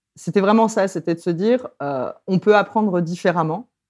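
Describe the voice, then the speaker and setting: A woman with a fairly low pitch speaks with ordinary pitch variation against a quiet background. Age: 30s. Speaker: lecturer and popular educator. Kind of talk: interview. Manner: hesitant, with many fillers.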